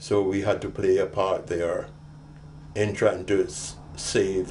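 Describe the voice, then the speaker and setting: This man has a fairly low pitch and a somewhat breathy sound. His intonation stays fairly even. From Jamaica. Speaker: war veteran. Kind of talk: oral history interview. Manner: halting, many repetitions.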